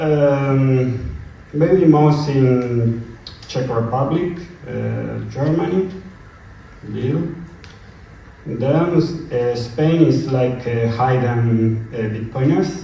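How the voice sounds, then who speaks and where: In a Spanish accent, a man speaks at a medium pitch with ordinary pitch variation and a very slow pace, leaving long, frequent pauses. Audible room echo and noticeable background noise fill the recording. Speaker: conference presenter. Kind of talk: conference Q&A answer. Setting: conference room, using a microphone. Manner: halting, searching for words.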